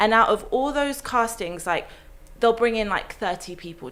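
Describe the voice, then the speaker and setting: Her pitch is fairly high for a woman. She speaks with ordinary pitch variation. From West London, England. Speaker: actress. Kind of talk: casual chat.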